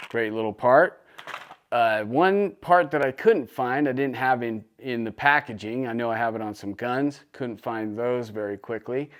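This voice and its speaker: A man with an American accent speaks at a moderate pace in a medium pitch, his enthusiastic tone carrying ordinary pitch variation over noticeable background noise. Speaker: gun channel host. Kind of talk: product showcase and tutorial. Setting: workshop. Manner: casual, enthusiastic.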